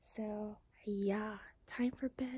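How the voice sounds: A woman speaks at a very slow pace and medium pitch, her dark, mellow tone carrying a slightly husky edge and fairly even intonation.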